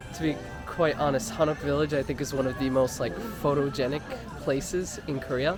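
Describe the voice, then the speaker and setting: The talking goes along at a fairly quick pace. There is music underneath it. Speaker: travel vlogger. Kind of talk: travel vlog narration. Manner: soft-spoken.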